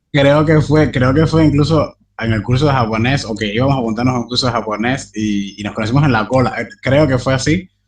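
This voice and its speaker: Fairly quick, somewhat breathy speech with hardly any pauses and ordinary pitch variation. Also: man, medium pitch for a man. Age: 20s. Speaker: translator and interpreter, language learner. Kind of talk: interview conversation. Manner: hesitant, many fillers.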